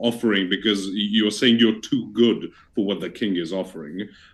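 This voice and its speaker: In a Received Pronunciation accent, a man speaks at a fairly low pitch. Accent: received pronunciation, sounds near-native. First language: not English. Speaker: debater. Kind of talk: debate. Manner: formal.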